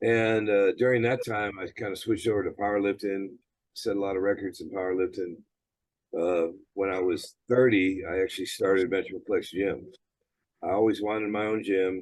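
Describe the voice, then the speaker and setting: A man with an American accent talks in a fairly low, monotone voice with flat intonation. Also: moderate pace. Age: 60s. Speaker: gym owner and former bodybuilder. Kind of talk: interview.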